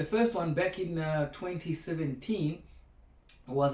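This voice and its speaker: A man's dark, mellow voice, somewhat breathy, moves along at a moderate speed. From South Africa, small Afrikaans-speaking town. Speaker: broadcast meteorologist, former teaching assistant. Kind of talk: keynote speech. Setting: video recording at home. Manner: casual, hesitant with fillers.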